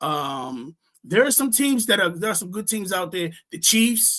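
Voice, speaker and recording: The speaker is a man. He talks at a moderate pace. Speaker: fantasy football podcast host. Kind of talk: casual chat. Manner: halting.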